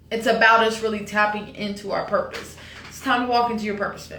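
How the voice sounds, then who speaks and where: There is audible room echo and noticeable background noise. A woman with a fairly high pitch talks at a moderate pace. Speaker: tarot card reader. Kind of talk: tarot reading monologue. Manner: talkative, animated.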